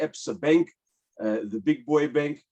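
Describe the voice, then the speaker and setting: A man speaks with a South African accent. His pitch is fairly high, with ordinary variation. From South Africa, Port Elizabeth. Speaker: webinar host, commercial property broker. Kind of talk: webinar presentation. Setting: online webinar.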